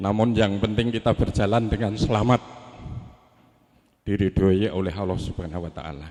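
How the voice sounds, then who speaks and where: A man with a Javanese accent, fairly low in pitch, at a moderate pace with ordinary pitch variation. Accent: regional Javanese. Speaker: family spokesman at wedding ceremony. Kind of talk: formal ceremonial speech. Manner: formal.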